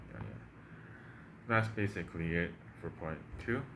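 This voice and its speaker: A man with a Chinese accent and vocal fry, talking at a fairly quick pace with very wide pitch swings and audible room echo. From Taiwan. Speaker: language-learning YouTuber. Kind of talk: casual tutorial. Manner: halting, many fillers and repeats.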